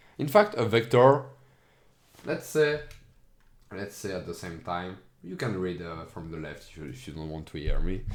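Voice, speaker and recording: Heard with audible room echo, a man with a non-native accent talks at a moderate pace in a very deep, low voice, with very wide pitch swings, big swings in loudness and long, frequent pauses. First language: not English. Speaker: educational streamer. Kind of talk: tutorial. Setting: screen recording. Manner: halting.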